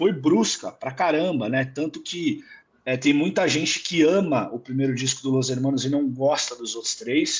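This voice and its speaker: Somewhat breathy in quality, the man's voice rides fairly high. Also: ordinary pitch variation, moderate pace. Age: 30s. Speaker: guest music commentator. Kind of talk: casual chat. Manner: halting, many repetitions.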